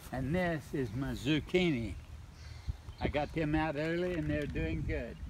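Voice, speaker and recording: A man with a Midwestern US accent at a fairly slow pace, with audible room echo. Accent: rural Midwestern American. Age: 80s+. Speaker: gardener. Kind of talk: casual chat. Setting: outdoors.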